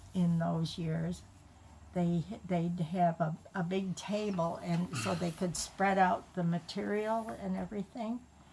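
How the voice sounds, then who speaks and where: Very slowly, a woman speaks with a fairly low pitch, a dark, mellow, somewhat breathy tone and lively intonation. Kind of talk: family storytelling.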